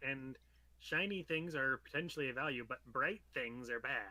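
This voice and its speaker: Doing a put-on character voice, a man speaks at a moderate pace in a medium pitch. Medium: actual play. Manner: earnest, quirky reasoning.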